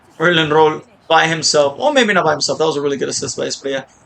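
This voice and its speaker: A man speaks at a fairly high pitch. Noticeable background noise can be heard. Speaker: gaming video creator. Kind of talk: gameplay commentary. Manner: animated.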